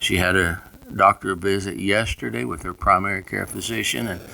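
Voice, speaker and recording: A man with a Southern US accent speaks at a fairly slow pace. His pitch varies in an ordinary way. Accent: rural Southern US (hillbilly). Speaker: pastor. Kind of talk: informal devotional message. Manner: casual and folksy.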